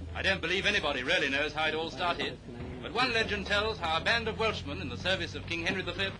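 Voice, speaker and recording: Noticeable background noise accompanies a man talking at a very fast pace with ordinary pitch variation. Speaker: newsreel narrator. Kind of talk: newsreel narration.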